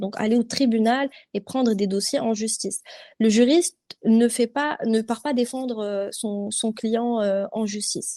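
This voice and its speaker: Fairly high female speech at a fairly slow pace, dark and mellow in tone, with ordinary pitch variation. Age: young. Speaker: corporate lawyer. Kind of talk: interview answer.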